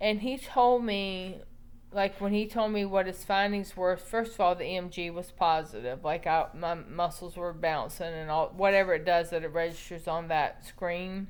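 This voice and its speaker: A woman talks at a medium tempo, her pitch in the middle range and its movement normal. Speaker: ALS patient vlogger. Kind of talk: personal testimony. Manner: casual, hesitant with fillers.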